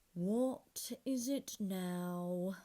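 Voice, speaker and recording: The voice is a put-on character voice that sounds female. Its pitch sits in the medium range for a woman. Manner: whispering.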